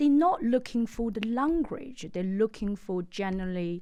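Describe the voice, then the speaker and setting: Speaking very slowly in a Chinese accent, a woman has a dark, mellow tone and lively intonation. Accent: Mandarin Chinese. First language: Mandarin. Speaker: estate agent. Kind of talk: interview. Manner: halting, many fillers.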